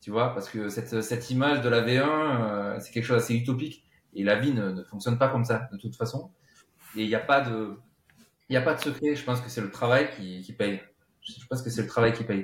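A man with a somewhat breathy voice at a medium pitch talks at a fairly quick pace, his intonation fairly even and his loudness swinging widely. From southern France, Cévennes (Gard). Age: 30s. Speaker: session drummer and composer. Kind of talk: interview.

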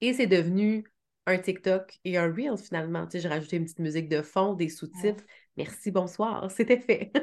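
The speaker is a woman whose pitch varies in an ordinary way. She keeps a moderate pace against a quiet background. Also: medium pitch for a woman, big swings in loudness. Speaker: web marketing strategist, agency founder. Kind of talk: interview conversation.

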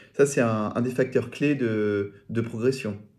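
This man speaks at a medium pitch with ordinary pitch variation and a very slow pace. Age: 30s. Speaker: podcast host. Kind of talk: interview. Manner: halting, repeats words.

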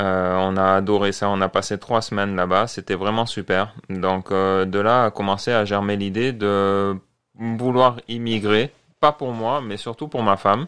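With fairly even intonation, a man talks at a fairly slow pace against a quiet background. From Marseille, southern France. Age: 40s. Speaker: French immigrant in Canada. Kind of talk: casual interview. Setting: studio.

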